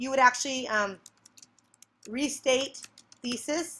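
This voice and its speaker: A woman with a high pitch speaks with long, frequent pauses. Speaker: teacher. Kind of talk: screencast tutorial. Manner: fast; animated.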